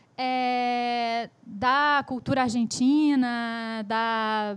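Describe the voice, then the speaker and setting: In a very clean recording with a silent background, a woman speaks with a Spanish accent. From Brazil. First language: Spanish (speaking Portuguese). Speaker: writer. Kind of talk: talk on own work. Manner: halting.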